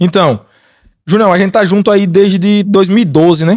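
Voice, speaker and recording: A man at a moderate pace, with a northeastern Brazilian accent. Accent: northeastern Brazilian (Sergipe). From Sergipe, northeastern Brazil. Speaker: podcast co-host, mining manager. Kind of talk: casual podcast chat.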